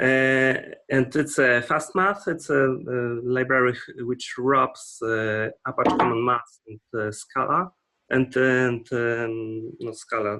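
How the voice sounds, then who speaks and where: A man with a Polish accent, at a very slow pace. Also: medium pitch for a man, ordinary pitch variation. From Poland. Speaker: open source library developer. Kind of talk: casual online meeting discussion. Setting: video call. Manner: halting, many fillers.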